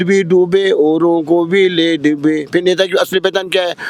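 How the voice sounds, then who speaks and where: High-pitched male voice in a monotone, flat intonation, with music in the background. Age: 80s+. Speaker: protester. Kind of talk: street interview.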